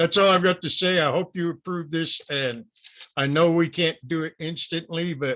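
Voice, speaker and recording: A man's bright, sharp tone comes through over a quiet background. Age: 70s. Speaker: planning commission member giving public comment. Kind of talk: public comment at council meeting.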